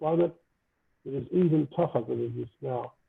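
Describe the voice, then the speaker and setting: A man speaks quietly at a moderate pace. His pitch is fairly high and his intonation fairly even. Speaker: speaker at colloquium. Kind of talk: lecture. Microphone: too quiet.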